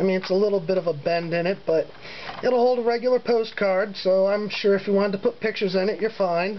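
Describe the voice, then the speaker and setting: Very fast speech over noticeable background noise. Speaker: hobbyist lock picker. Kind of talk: casual show-and-tell video. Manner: halting, many fillers.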